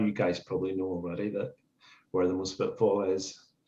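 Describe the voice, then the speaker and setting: Dark and mellow in tone, a man's voice holds a fairly even intonation in a Northern Irish accent. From Northern Ireland. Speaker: vegan street activist. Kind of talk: casual podcast chat.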